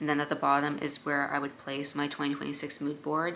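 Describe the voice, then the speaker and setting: A woman's very deep, low voice with an American accent, at a fairly quick pace, over noticeable background noise. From New York. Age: 20s. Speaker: lifestyle vlogger. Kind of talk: casual vlog tutorial.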